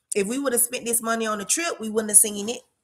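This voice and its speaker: A woman speaks with a Florida accent. Her voice is somewhat breathy and animated in tone. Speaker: real estate investor. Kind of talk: live stream casual talk. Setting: livestream at home.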